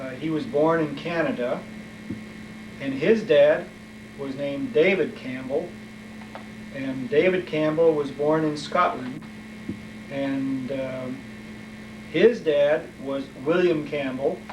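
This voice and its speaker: A man with a fairly high pitch and ordinary pitch variation talks very slowly, with long, frequent pauses, over noticeable background noise and audible room echo. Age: 60s. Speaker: family history interviewer. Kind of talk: family oral history interview. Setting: mother's apartment. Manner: halting, with fillers.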